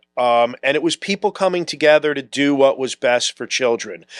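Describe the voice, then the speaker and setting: A man speaks in an ordinary speaking voice, fairly high-pitched with lively intonation. The sound is dry and close, with no echo. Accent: American. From South Florida (Broward County). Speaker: local politician. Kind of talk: interview.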